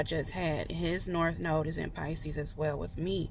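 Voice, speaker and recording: In a room with audible echo, a woman speaks at a moderate pace in a fairly low voice with monotone, flat intonation. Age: 30s. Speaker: tarot reader. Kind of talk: casual chat. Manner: halting.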